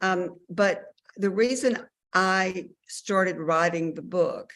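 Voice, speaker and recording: A woman speaks at a fairly slow pace with a fairly low pitch and a Southern US accent. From Mississippi. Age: 60s. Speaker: author. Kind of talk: interview. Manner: hesitant, many fillers.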